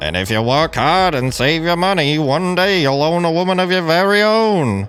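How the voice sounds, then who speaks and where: A man puts on a character voice. It is high-pitched for a man. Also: moderate pace. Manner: joking.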